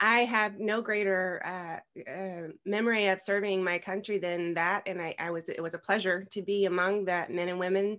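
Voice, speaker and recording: The woman's intonation is fairly even. The background is quiet. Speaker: podcast guest. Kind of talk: interview answer. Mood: warm, proud, some laughs. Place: home room. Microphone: video call.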